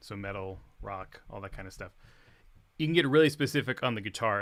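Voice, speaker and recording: A man speaks quietly at a fairly quick pace. The recording is very clean, with a silent background. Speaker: guitarist and music teacher. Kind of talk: livestream guitar tutorial. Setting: home livestream.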